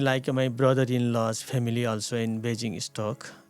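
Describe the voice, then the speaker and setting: On a very clean recording with a silent background, a man speaks with a Nepali accent. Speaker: community leader and former police officer. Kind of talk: radio interview. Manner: halting.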